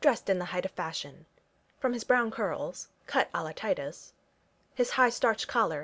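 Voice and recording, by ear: Lively intonation comes through as someone is reading aloud in a natural voice.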